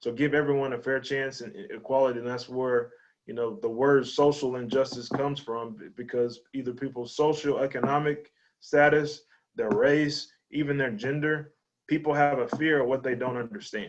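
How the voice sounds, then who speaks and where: A man speaks in a Texas accent. His pitch is medium. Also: ordinary pitch variation, moderate pace, big swings in loudness. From East Texas, Lufkin. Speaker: high school athletic director and coach. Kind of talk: interview conversation. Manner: halting, with many repetitions.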